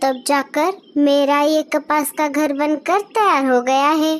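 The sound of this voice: In a cartoonish character voice, a woman speaks at a fairly slow pace with a high pitch and ordinary pitch variation.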